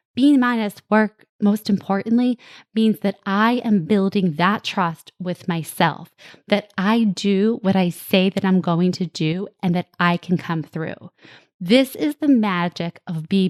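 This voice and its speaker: A woman with a slight New Jersey accent speaks at a fairly slow pace. The sound is dry and close with no echo, and the background is quiet. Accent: New Jersey twang, slight. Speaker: podcast host, parenting coach. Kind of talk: solo podcast monologue.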